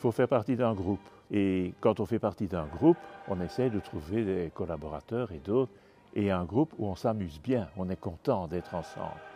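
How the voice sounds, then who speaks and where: Music plays behind a man with a Belgian accent. His pitch is fairly low and his pace moderate. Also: lively intonation. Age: 70s. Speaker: bishop. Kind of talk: interview.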